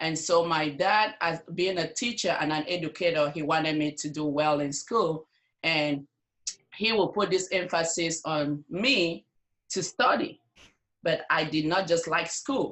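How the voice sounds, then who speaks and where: With an African accent, a woman speaks at a fairly slow pace in a fairly low pitch, with ordinary pitch variation. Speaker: nurse and network marketer. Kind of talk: interview.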